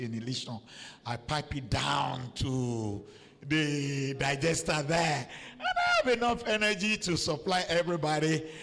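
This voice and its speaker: A man speaks at a fairly slow pace with lively intonation and a fairly high pitch. Noticeable background noise runs underneath. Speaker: professor. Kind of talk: panel discussion. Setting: conference with audience.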